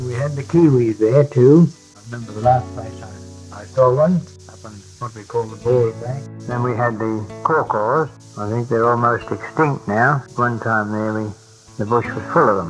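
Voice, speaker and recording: With music in the background, a man at a medium pitch speaks at a moderate pace, his pitch varying in an ordinary way and his loudness swinging widely. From Nelson, New Zealand. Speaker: retired bush worker and bullock driver. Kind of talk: oral history reminiscence.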